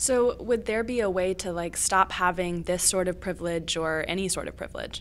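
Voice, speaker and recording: The speaker has a plain, everyday voice and an American accent. The pace is moderate, with ordinary pitch variation and hardly any pauses. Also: woman, medium pitch for a woman. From Virginia, US. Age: 20s. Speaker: student podcast co-host. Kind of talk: educational podcast discussion.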